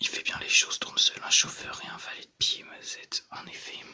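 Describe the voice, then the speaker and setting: Whispering comes through at a moderate pace. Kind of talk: comic book read aloud. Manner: soft-spoken.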